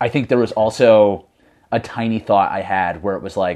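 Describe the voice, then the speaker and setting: This is a man with an unremarkable speaking voice. He talks at a fairly quick pace with ordinary pitch variation. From US Northeast, Connecticut. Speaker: mountain runner. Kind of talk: casual chat.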